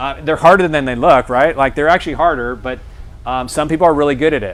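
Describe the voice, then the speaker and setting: A man's fairly high voice at a very fast pace, with fairly even intonation, over noticeable background noise. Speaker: guest speaker at a realtor seminar. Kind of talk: seminar talk.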